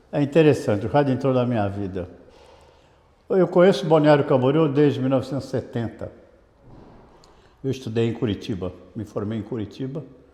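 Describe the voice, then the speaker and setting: A man with a medium pitch and a dark, mellow tone talks at a fairly quick pace with lively intonation. He takes long, frequent pauses. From Brazil, Santos (São Paulo state). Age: 70s. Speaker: radio broadcaster and sales director. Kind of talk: interview. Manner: conversational with hesitations.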